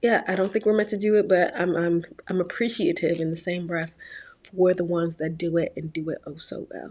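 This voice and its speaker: Speaking at a moderate pace, a woman with a Virginia accent has a medium pitch and a bright, sharp tone. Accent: faint Virginia. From Virginia, US. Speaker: YouTuber and aspiring actress. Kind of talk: vlog monologue.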